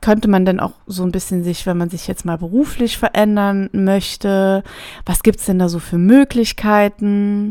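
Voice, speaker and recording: A woman speaks at a medium pitch. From Germany, Trier region near Luxembourg. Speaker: podcast host and make-up artist. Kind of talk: casual monologue. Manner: enthusiastic.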